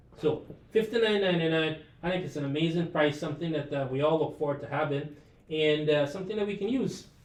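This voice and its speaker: In an animated tone, a man talks at a high pitch and a fairly quick pace with ordinary pitch variation, and room echo is audible. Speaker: live shopping presenter. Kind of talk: sales pitch. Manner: fast; casual, animated.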